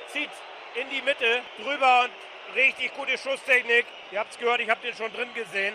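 An extremely high-pitched male voice with monotone, flat intonation and noticeable background noise. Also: moderate pace. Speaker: radio reporter. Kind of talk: live sports commentary. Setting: stadium.

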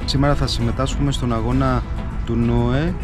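With clear music playing behind him, a man talks rather slowly. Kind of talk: interview answer. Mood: calm, friendly. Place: waterside. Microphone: phone near.

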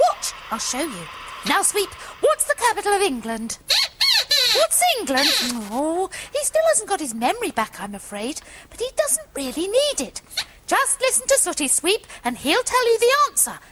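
A woman in a cartoonish character voice speaks at a moderate pace with long, frequent pauses, an extremely high pitch and very wide pitch swings. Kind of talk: children's TV puppet comedy.

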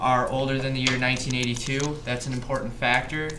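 A man speaks fairly quickly while background noise is clearly audible. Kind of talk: home science demonstration to camera. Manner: casual, hesitant.

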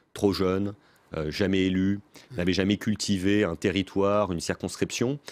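A man talks at a fairly low pitch. The sound is dry, with no echo. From France. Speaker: former presidential communications adviser and author; interview guest. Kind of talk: political interview. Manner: quick, lively. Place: studio. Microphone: studio mic.

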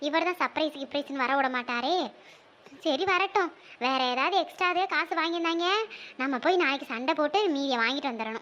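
A woman puts on a cartoonish character voice pitched high. She keeps a moderate pace with ordinary pitch variation.

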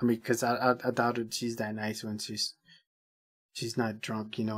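The background is quiet. The speech moves at a moderate pace. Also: man. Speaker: reaction video host. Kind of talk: casual commentary. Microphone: earbuds.

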